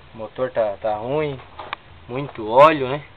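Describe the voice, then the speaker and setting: There is noticeable background noise as a man talks at a fairly slow pace, his medium-pitched voice carrying fairly even intonation. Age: 20s. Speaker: car owner making a video application. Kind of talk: casual video walkthrough.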